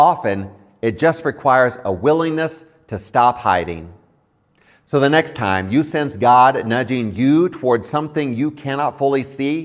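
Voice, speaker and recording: An ordinary speaking voice from a man, medium in pitch and fairly slow. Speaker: pastor, Bible teacher. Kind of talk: Bible teaching, scripture reflection.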